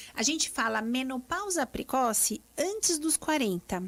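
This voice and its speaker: A woman with a high pitch speaks at a fairly slow pace on a very clean recording with a silent background. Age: 40s. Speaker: gynecologist. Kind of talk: live radio interview.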